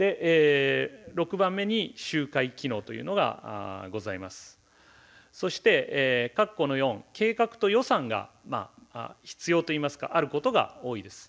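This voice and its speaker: A man's fairly high voice at a fairly slow pace, with very wide pitch swings and big swings in loudness over a quiet background. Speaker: professor of geography; keynote lecturer. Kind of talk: keynote lecture. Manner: halting, many fillers; serious, somewhat stiff. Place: hall.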